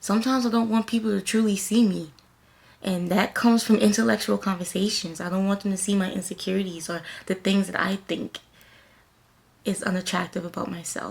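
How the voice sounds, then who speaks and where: Soft-spoken and somewhat breathy, this voice has an American accent. It moves at a fairly quick pace with fairly even intonation. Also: woman, medium pitch for a woman. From US South. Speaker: lifestyle and self-care vlogger. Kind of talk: motivational talk to camera.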